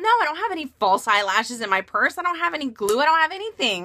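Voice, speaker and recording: Doing a put-on character voice, a woman speaks very fast in a high, whiny tone, her pitch swinging very widely. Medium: solo performance.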